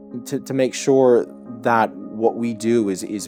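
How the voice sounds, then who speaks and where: A man with an American accent, music in the background. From New Jersey, United States. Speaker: assistant marketing manager. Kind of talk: corporate interview answer.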